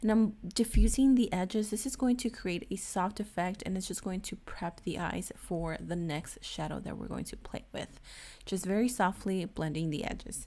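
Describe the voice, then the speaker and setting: A woman talks at a moderate pace in a medium pitch with ordinary variation. Her tone is dark and mellow, with vocal fry. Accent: non-native. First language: not English. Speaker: beauty youtuber. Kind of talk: tutorial. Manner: casual, chatty.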